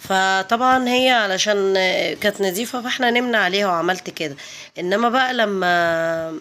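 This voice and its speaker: A woman speaks at a fairly slow pace with a medium pitch. Her bright, sharp tone carries ordinary pitch variation. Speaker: home vlogger. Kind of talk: casual vlog narration. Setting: at home. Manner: halting, with fillers.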